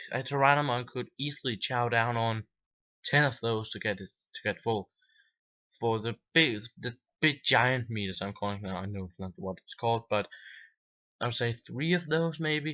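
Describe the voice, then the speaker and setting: With a non-native accent, a man talks with lively intonation and long, frequent pauses. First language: not English. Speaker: video game reviewer. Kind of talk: casual video review. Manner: halting, with false starts.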